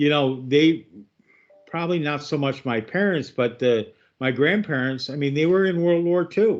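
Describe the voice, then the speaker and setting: In a normal speaking voice, a man talks at a moderate pace. His pitch is fairly high, with ordinary variation. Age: 60s. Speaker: radio host. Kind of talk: radio interview.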